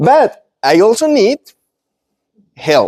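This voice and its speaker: In a dry, close sound with no echo, a man with a Spanish accent speaks in a dark, mellow tone, his pitch swinging very widely. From Colombia. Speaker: business owner and speaker. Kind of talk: presentation to live audience. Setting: event with live audience. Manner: halting, with self-corrections.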